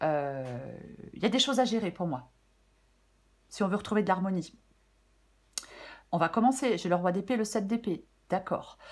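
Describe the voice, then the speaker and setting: A woman's medium-pitched voice at a fairly slow pace, with lively intonation and long, frequent pauses. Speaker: tarot reader. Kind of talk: tarot reading. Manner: hesitant, many fillers.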